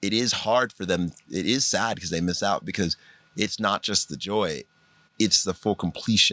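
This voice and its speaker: This man's fairly low voice has a bright, sharp tone and a dry, close sound with no echo. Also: ordinary pitch variation, moderate pace. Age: 30s. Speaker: podcast host. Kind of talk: casual chat.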